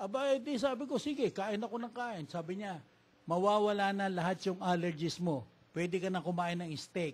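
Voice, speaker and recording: This man talks at a moderate pace, his high-pitched voice carrying lively intonation. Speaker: patient. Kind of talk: testimony. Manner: halting.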